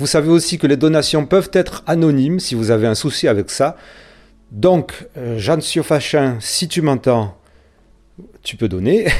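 Lively in intonation, a man speaks at a fairly slow pace with a fairly high pitch. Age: 50s. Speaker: podcast host. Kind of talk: appeal to listeners.

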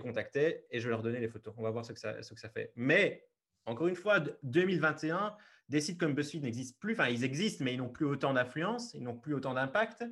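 A man's fairly high, somewhat breathy voice with very wide pitch swings, big swings in loudness and a fairly quick pace. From Belgium, Liège region. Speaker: travel photographer. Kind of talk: interview.

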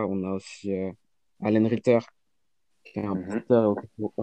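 A man speaks very slowly in a fairly low, dark, mellow voice with monotone, flat intonation. The sound is dry and close, with no echo. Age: 20s. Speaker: beatmaker. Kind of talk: casual chat, album review.

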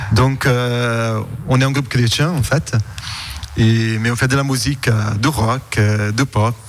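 A man's medium-pitched voice at a very slow pace, with long, frequent pauses, fairly even intonation and very even loudness, over noticeable background noise. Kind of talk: radio interview.

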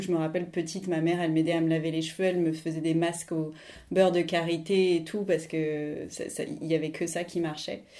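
In a room with audible echo, a woman speaks at a moderate pace, her fairly low voice dark and mellow in tone with monotone, flat intonation. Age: 40s. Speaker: art history teacher. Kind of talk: interview testimony.

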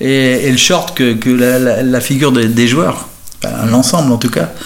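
A medium-pitched male voice at a moderate pace, with audible room echo and noticeable background noise. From France, Nantes. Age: 60s. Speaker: football supporter, retired civil servant. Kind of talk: interview. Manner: halting, frequent repetitions.

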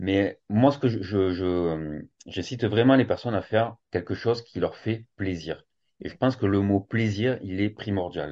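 With a plain, everyday voice, a man talks at a fairly slow pace in a fairly low pitch with ordinary pitch variation. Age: 40s. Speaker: fitness coach and yoga teacher. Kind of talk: casual interview.

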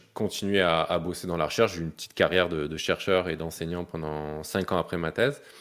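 Music plays behind a man whose very deep, low voice holds fairly even intonation. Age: 30s. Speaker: neuroscientist and health content creator. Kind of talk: casual chat.

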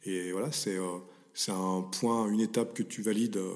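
There is fairly even intonation in this man's fairly low voice. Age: 40s. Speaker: mental performance coach. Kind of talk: interview. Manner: halting, repeats words.

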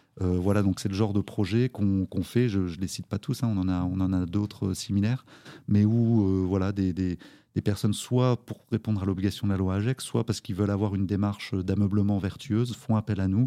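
A man's fairly low, dark and mellow voice at a fairly quick pace with fairly even intonation, the sound dry and close with no echo. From France, Nancy area (Lorraine). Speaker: recycling charity co-founder. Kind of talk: interview. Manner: hesitant, many fillers.

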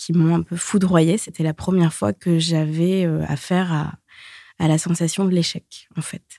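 Very slowly, a woman speaks in a fairly low, dark and mellow voice with fairly even intonation, the sound dry and close with no echo. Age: 30s. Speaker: singer-songwriter and recovered anorexia patient. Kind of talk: personal testimony interview.

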